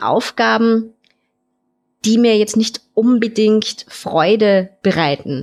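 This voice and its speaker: In a plain, everyday voice, a woman speaks at a fairly high pitch, her pitch varying in an ordinary way. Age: 30s. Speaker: caller. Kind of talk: casual chat.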